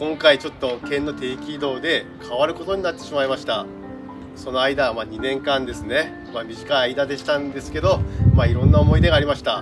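A man at a fairly quick pace, clear music in the background. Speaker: staff member of a prefectural horticulture facility. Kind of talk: farewell announcement to camera. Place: garden. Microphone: camera far.

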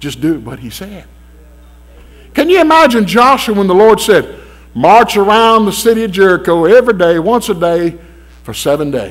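With a Southern US accent and a high pitch, a man talks at a moderate pace, his pitch swinging very widely and his loudness shifting greatly, with long, frequent pauses. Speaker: preacher. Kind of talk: sermon. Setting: church. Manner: emphatic, preaching cadence, repeated calls for amens; animated, urgent, exhorting the congregation. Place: church. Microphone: podium.

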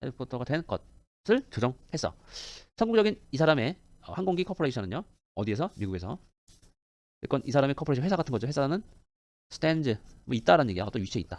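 A man talks at a very fast pace with a fairly high pitch and very wide pitch swings. Vocal fry runs through it, along with long, frequent pauses. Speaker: English teacher. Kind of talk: lecture.

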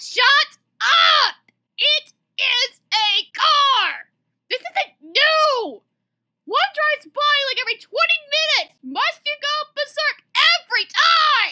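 Someone in a put-on character voice speaks at an extremely high pitch and a fairly slow pace. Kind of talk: comic dub. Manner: exasperated, shouting.

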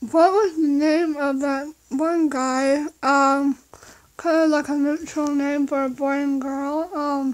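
At a very slow pace, a woman talks in a monotone, flat intonation. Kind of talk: casual vlog chat. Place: home room. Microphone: phone near.

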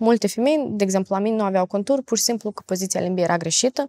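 Talking at a very fast pace with lively intonation, a woman has a dark, mellow tone over a quiet background. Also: dry sound with no echo. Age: 20s. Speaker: facial exercise coach. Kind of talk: podcast interview. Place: studio.

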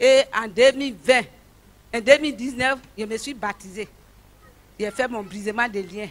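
This voice moves at a very slow pace. Its pitch variation is ordinary. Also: woman. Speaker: church member giving testimony. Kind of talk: testimony. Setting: church. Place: stage. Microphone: handheld.

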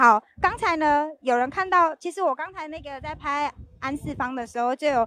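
This woman speaks at a high pitch with ordinary pitch variation. The sound is dry and close, with no echo. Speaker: video host. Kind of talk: live event tour interview.

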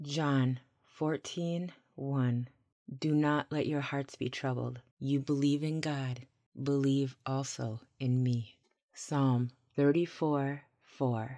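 At a very slow pace, the voice has a dark, mellow tone and fairly even intonation over a quiet background. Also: woman, very deep, low pitch for a woman. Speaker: scripture narrator, ASMR audio bible reader. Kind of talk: soothing scripture reading for sleep and anxiety relief. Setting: binaural microphone recording, vocals only with calm water ambiance. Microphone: studio mic.

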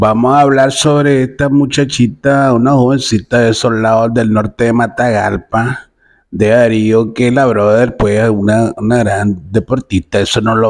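A man speaks at a fairly slow pace in a normal speaking voice, his medium pitch held at a fairly even intonation. The background is quiet. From Nicaragua. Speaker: comedic commentary video host. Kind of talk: casual commentary monologue. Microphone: phone near.

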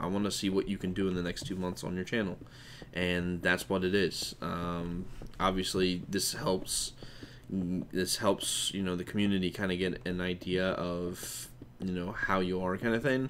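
This man has a very deep, low pitch and an American accent. His intonation stays fairly even at a moderate pace. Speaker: gaming YouTuber. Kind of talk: casual announcement video. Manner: casual, chatty, filler words.

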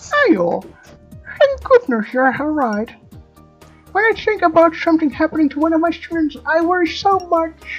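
An extremely high-pitched, female-sounding put-on character voice over faint background music. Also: moderate pace. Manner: warm, caring.

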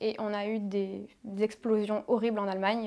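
This is a woman speaking. The background is quiet. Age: 20s. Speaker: reality TV contestant and influencer; influencer. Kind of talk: interview testimony. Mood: serious, confiding about painful memories. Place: studio. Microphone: lapel.

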